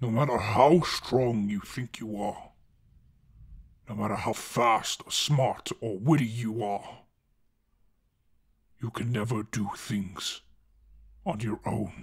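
A man uses a put-on character voice, raspy and at a medium pitch. He speaks at a fairly slow pace with long, frequent pauses. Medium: audio drama. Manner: somber, confessional, tender.

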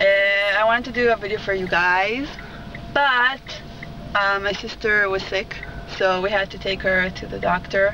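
Noticeable background noise sits under a dry sound with no echo as a woman speaks at a moderate pace with fairly even intonation. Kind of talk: casual vlog chat. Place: car.

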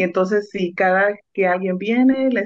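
The background is quiet. Speech moves at a fairly slow pace. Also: woman. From Mexico, Oaxaca (Mixteca region); Oaxaca, Mexico. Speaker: food truck owner; guest. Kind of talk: radio interview. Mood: warm, proud. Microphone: video call.

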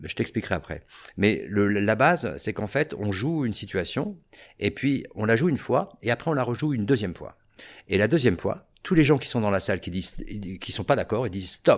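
A man's fairly quick pace carries lively intonation. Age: 50s. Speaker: theatre teacher. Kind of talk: casual chat; interview answer. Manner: halting. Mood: engaged, explanatory. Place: studio. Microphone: studio mic.

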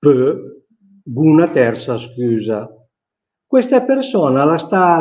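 The tone is dark and mellow, and the pitch swings very widely. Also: man. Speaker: Milanese dialect teacher. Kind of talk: reading a book passage aloud in Milanese dialect. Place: home room. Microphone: webcam.

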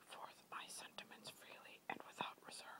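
Someone whispers at a moderate pace. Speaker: whisper video creator. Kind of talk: whispered reading of a historical speech. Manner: whispered.

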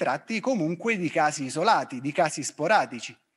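A man's pitch swings very widely as he talks. Behind him, the background is quiet. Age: 50s. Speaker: fitness professional; presenter. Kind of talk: lecture. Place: studio. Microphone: handheld.

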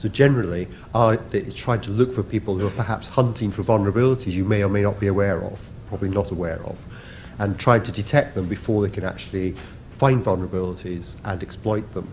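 A man talks very fast with a fairly low pitch. His intonation stays fairly even over light background noise. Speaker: conference presenter. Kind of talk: conference talk. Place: hall.

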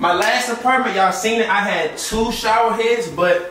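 Audible room echo surrounds a man's voice. Light background noise is present too. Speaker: vlogger showing apartment. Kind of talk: casual vlog chat. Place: bathroom.

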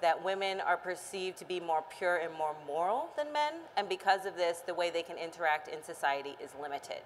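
A woman speaks in a plain, everyday voice with an American accent, fairly low in pitch and with ordinary pitch variation. Her pace is fairly quick, over light background noise. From Austin, Texas. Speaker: mental health researcher; panelist. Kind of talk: panel discussion. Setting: stage with audience. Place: hall.

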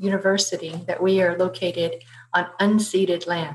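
A somewhat breathy woman at a moderate pace over light background noise. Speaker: webinar host. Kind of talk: formal event introduction. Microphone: webcam.

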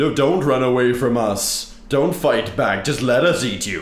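Over light background noise, a man does a put-on character voice at a medium pitch and a moderate pace. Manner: mock-gruff, joking.

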